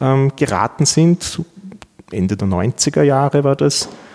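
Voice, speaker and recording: Over noticeable background noise, a man speaks at a fairly slow pace with lively intonation, the sound dry and close with no echo. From Austria, Vienna. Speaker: law professor. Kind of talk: interview. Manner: hesitant, many fillers and repetitions.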